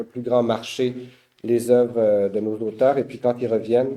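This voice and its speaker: The man's voice sits at a medium pitch with a monotone, flat intonation. His pace is moderate. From Quebec. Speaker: publisher. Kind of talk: panel talk. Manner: halting.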